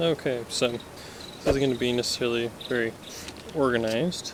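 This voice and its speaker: Soft-spoken, a man talks at a moderate pace with a medium pitch. Noticeable background noise runs underneath. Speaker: indie VR game developer. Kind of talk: casual tutorial demo. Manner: soft-spoken, quiet.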